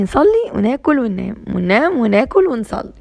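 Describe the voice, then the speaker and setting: Speaking with an Egyptian accent, a woman uses an animated tone at a moderate pace against noticeable background noise. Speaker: homemaking vlogger. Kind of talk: casual vlog monologue.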